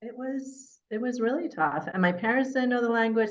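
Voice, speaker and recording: This is a woman's voice. She speaks with a Californian accent. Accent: Californian American English. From Northern California. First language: Persian. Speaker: mayor. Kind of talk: interview, personal life story. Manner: conversational with fillers.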